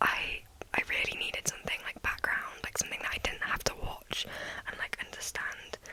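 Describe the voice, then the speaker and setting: A woman whispers over noticeable background noise. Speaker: ASMR content creator. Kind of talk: ASMR whisper ramble to camera. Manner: whispered, soft-spoken, casual.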